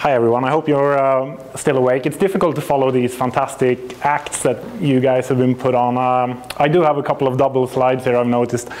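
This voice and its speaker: Someone with a Swedish accent speaks at a fairly quick pace over noticeable background noise. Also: man. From Sweden. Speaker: astrophysicist and company representative. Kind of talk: conference presentation. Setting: stage with audience. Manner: halting.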